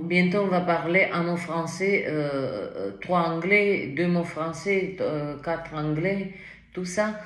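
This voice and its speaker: A woman with a non-native accent and a fairly low pitch, speaking at a very slow pace, with audible room echo and noticeable background noise. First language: not French (speaking French). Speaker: tarot reader. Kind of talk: tarot reading. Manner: animated, with many fillers.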